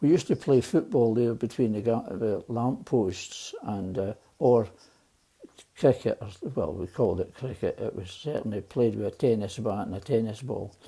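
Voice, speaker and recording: A man's medium-pitched, somewhat breathy voice with a Glaswegian accent, a dark, mellow tone and ordinary pitch variation. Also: moderate pace. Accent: Glaswegian Scottish. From Scotland, Glasgow East End. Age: 80s+. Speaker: elderly storyteller. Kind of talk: personal storytelling. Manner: halting.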